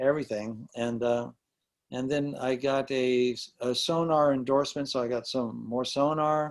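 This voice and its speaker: A man talks at a moderate tempo in a medium-pitched voice. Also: fairly even intonation. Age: 60s. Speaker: rock drummer. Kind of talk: interview. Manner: halting.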